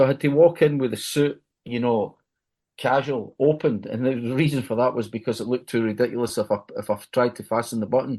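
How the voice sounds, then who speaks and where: Against a quiet background, a man with a Glaswegian accent talks at a fairly quick pace, with a medium pitch, a dark, mellow tone and ordinary pitch variation. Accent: Glaswegian Scottish. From Scotland, Glasgow. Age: 70s. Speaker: music journalist and radio DJ. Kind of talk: podcast interview. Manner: repetitive, self-correcting.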